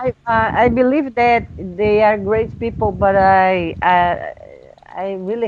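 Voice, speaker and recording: Ordinary pitch variation marks a woman's very slow speech in a non-native accent. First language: not English. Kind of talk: casual conversation over video call.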